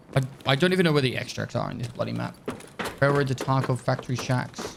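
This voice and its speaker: A man talks very fast with fairly even intonation against noticeable background noise. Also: medium pitch for a man. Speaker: video game streamer. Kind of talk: gameplay commentary. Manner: casual, thinking aloud.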